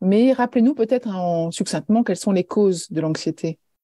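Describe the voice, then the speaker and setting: In a very clean recording with a silent background and a dry, close sound without echo, a woman speaks at medium pitch with a dark, mellow tone. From France. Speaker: podcast host. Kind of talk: interview.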